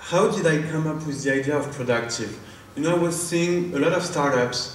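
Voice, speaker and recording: A man speaks at a fairly high pitch and a moderate pace with a strong French accent and ordinary pitch variation. Noticeable background noise and audible room echo surround him. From France. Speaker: startup founder and CEO. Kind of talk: product demo pitch.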